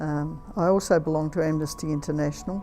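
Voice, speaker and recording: Music plays in the background. A woman with an Australian accent talks at a fairly quick pace. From Australia, Victoria. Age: 80s+. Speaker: retired nurse. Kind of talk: interview answer.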